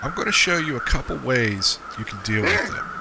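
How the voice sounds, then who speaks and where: A man speaks at a medium pitch with lively intonation over noticeable background noise. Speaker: gaming video creator. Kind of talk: game tutorial narration. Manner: casual, jokey; whispering for drama.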